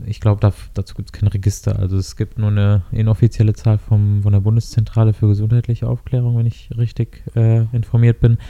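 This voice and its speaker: Dark, mellow tone, fairly quick pace and monotone, flat intonation. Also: man, fairly low pitch for a man. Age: 20s. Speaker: health economics student, podcast co-host. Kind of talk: casual chat and interview.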